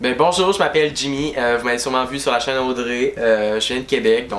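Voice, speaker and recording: Speaking at a medium pitch and a fairly quick pace, a man has a Quebec City accent and ordinary pitch variation. Background noise is noticeable. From Quebec City, Canada. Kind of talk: casual self-introduction.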